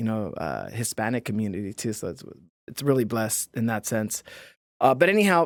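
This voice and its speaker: A man's medium-pitched voice with an American accent and lively intonation at a fairly quick pace, dry and close with no echo, in a very clean recording with a silent background. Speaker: podcast host. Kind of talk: interview conversation.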